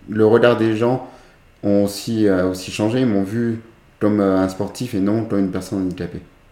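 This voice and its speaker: A man's fairly low-pitched voice with fairly even intonation and audible room echo. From France, Chambéry (Savoie). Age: 30s. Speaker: para-athlete, former para swimmer. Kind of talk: interview. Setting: recorded at his home.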